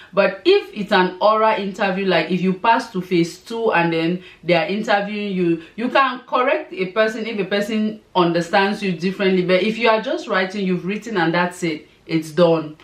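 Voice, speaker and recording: A woman speaks at a moderate pace and medium pitch with ordinary pitch variation, hardly any pauses, and noticeable background noise. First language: not English. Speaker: scholarship advice vlogger. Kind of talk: tutorial.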